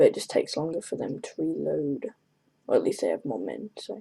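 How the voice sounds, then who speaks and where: A woman speaks in a soft-spoken way. Her pace is moderate. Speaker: gaming video commentator. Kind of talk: gameplay commentary.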